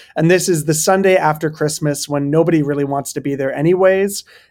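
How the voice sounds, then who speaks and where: At a fairly quick pace and with fairly even intonation, an ordinary speaking voice comes through on a very clean recording with a silent background. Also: man. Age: 30s. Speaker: pastor and author. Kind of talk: interview conversation.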